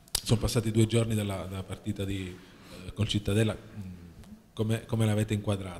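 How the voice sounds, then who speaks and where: A man's fairly low, somewhat breathy voice, monotone and flat, at a fairly quick pace broken by long, frequent pauses, with light background noise. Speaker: sports journalist. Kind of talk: press conference questions. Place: meeting room.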